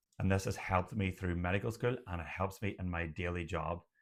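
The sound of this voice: Speaking at a low pitch, the man lets it move very little.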